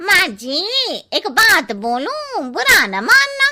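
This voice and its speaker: A woman does a cartoonish character voice at an extremely high pitch, with very wide pitch swings. She speaks very slowly. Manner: cheeky, familiar.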